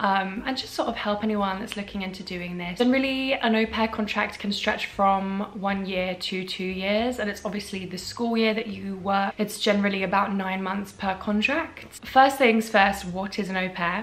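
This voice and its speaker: A woman speaks with a British accent at a moderate pace, her pitch medium and her intonation fairly even. She hardly pauses, and there is noticeable background noise. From England. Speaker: content creator. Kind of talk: casual advice vlog.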